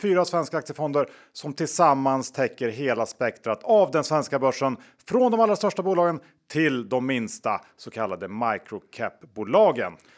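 Speaking at a moderate pace, a man uses very wide pitch swings. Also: very clean recording, silent background. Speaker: podcast host. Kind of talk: casual chat.

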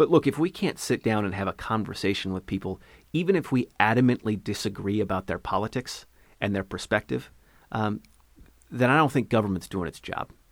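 A plain, everyday voice, this man's has a fairly low pitch, an American accent, lively intonation and a fairly quick pace, with a dry, close sound with no echo and a very clean recording on a silent background. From Eastern Washington, US (Ellensburg). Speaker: congressional candidate, former prosecutor. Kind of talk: interview.

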